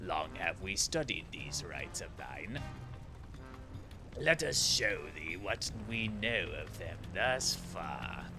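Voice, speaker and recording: A man's put-on character voice, fairly low in pitch and at a very slow pace, over loud music in the background. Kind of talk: archaic speech, thee and thou. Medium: game stream. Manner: detached, formal.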